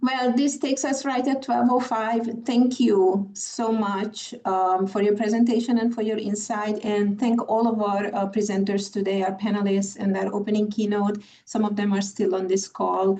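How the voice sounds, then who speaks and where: A woman of medium pitch speaks with a Hungarian accent, hardly any pauses and fairly even intonation, over noticeable background noise. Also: moderate pace. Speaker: conference moderator. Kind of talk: panel moderation. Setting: video call.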